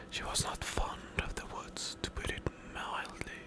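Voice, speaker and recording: The speaker whispers in a soothing tone at a very slow pace. Noticeable background noise runs underneath. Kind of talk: scary story book reading. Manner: quiet, soothing, relaxing.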